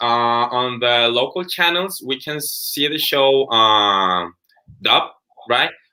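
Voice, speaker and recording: A fairly high-pitched man with a Spanish accent and long, frequent pauses. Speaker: interviewer. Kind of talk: interview. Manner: halting.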